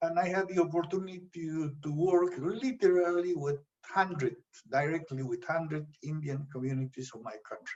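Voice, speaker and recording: At a moderate pace, a man speaks in a high voice with big swings in loudness. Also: ordinary pitch variation. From Peru. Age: 70s. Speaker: anthropologist. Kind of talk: interview. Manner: hesitant.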